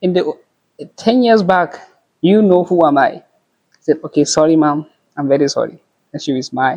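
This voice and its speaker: Speaking at a fairly quick pace with a Yoruba accent, a man has a high pitch, a dark, mellow tone and ordinary pitch variation. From northern Nigeria. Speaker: pharmacy student. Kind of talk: casual chat.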